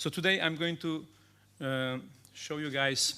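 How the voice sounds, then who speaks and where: The speaker has a Macedonian accent. The recording is very clean, with a silent background. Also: man. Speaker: cybersecurity consultant. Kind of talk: conference talk. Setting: stage with audience. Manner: fast.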